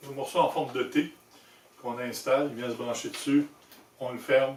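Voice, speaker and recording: The speaker is a man with a Quebec accent. His pitch is fairly high and his pace moderate. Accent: Québécois French. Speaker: motorcycle accessory maker and video host. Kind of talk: product demonstration tutorial. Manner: casual, conversational.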